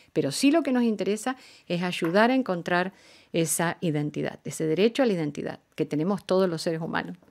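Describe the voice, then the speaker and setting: The woman speaks fairly quickly. Her voice rises and falls across a very wide range. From Argentina. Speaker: diplomat; guest. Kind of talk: radio interview. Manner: formal. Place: studio. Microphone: studio mic.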